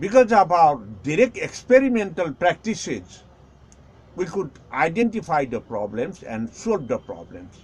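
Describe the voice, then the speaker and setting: Speaking in a Nepali accent, a man talks at a fairly slow pace in a high pitch with very wide pitch swings. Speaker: Buddhist teacher. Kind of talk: lecture. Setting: live stream.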